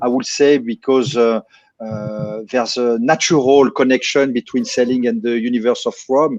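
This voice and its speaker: Music plays in the background as a man speaks with fairly even intonation. The sound is dry and close, with no echo. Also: medium pitch for a man, moderate pace. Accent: French. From France. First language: French. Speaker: distillery managing director. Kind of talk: live stream interview.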